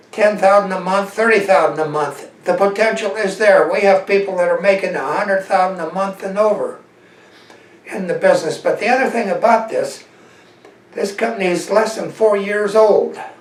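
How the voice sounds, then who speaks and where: A man's high-pitched voice at a moderate pace, with fairly even intonation, audible room echo and noticeable background noise. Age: 70s. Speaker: network marketing salesman. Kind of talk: sales pitch.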